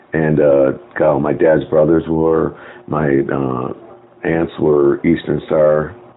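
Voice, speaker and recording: Noticeable background noise surrounds a man whose very deep, low voice stays monotone and flat at a very slow pace. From Chicago. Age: 50s. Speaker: lodge secretary, Freemason. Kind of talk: interview.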